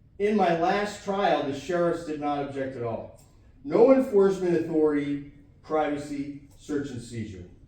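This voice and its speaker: There is noticeable background noise and audible room echo as a man with a fairly high pitch talks at a moderate pace with lively intonation. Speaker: self-represented defendant. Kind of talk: courtroom argument. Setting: courtroom. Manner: animated.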